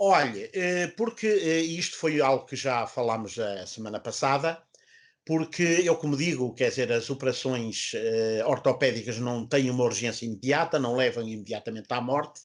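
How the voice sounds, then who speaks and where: Against a quiet background, a man speaks at a moderate pace in a medium pitch with lively intonation. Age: 60s. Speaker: orthopedic surgeon. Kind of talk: health talk show interview. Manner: hesitant, many fillers.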